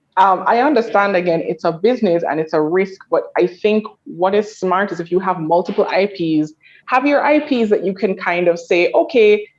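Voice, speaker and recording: A moderate pace and lively intonation with a Jamaican accent. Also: woman, medium pitch for a woman. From Jamaica (Kingston area). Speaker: panelist. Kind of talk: panel discussion.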